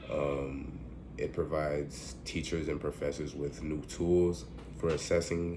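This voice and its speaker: With audible room echo, a man talks at a fairly slow pace in a very deep, low pitch, with a dark, mellow tone, vocal fry and fairly even intonation. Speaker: student giving a class presentation. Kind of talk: recorded class presentation. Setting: at home. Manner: halting, many fillers.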